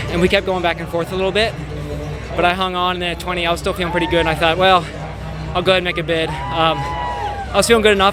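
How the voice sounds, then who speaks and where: With an American accent, a man speaks at a very fast pace and a high pitch in monotone, flat intonation, with audible room echo and music in the background. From US Midwest, Cincinnati, Ohio. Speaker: marathon runner. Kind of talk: post-race interview.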